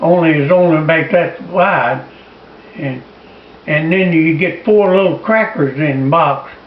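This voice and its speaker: A man's high-pitched voice with ordinary pitch variation at a very slow pace, over noticeable background noise. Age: 80s+. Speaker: war veteran. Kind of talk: interview answer.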